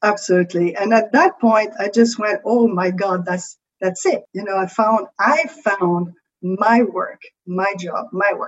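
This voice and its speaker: Someone speaks at a fairly slow pace with a French accent and ordinary pitch variation. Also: woman. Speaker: creativity coach. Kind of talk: podcast interview.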